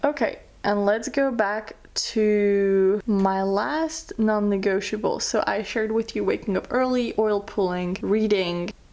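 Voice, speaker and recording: A woman with a Slovak accent talks at a fairly slow pace and a medium pitch. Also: ordinary pitch variation, hardly any pauses, very even loudness. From France, born in Slovakia. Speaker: beauty vlogger. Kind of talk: casual chat. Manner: conversational.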